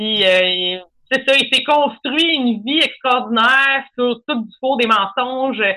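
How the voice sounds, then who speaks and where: A woman with a high voice talks very slowly, her pitch varying in an ordinary way. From Quebec, Lanaudière countryside. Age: 30s. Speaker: comedian. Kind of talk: casual chat.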